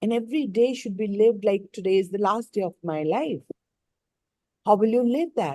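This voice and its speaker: A woman with a dark, mellow tone speaks at a moderate pace with lively intonation and long, frequent pauses. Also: medium pitch for a woman. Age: 60s. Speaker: life coach. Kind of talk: live online coaching session.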